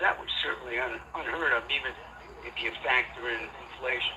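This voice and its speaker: Noticeable background noise is present. The talking proceeds at a moderate speed. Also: man. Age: 60s. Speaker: sports historian. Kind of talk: interview.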